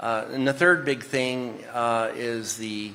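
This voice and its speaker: A man's medium-pitched voice in a Texan accent, with ordinary pitch variation. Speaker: semiconductor executive. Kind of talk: panel discussion.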